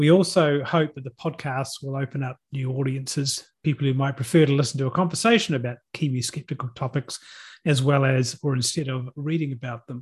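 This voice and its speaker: A man with a New Zealand accent, somewhat breathy and fairly high-pitched, at a fairly quick pace with fairly even intonation against a quiet background. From Hawke's Bay, New Zealand. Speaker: podcast host and skeptics society chair. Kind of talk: casual chat.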